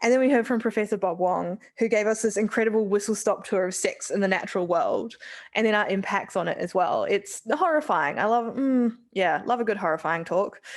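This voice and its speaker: A woman with a New Zealand accent, fairly high-pitched and fairly quick, with ordinary pitch variation and hardly any pauses. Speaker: scientist giving vote of thanks. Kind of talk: vote of thanks speech. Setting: live event with audience. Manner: casual, hesitant with fillers.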